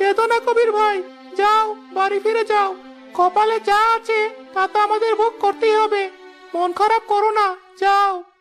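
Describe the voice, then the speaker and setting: A woman uses a cartoonish character voice at a moderate pace and very even loudness, with clear music in the background. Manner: gentle, consoling.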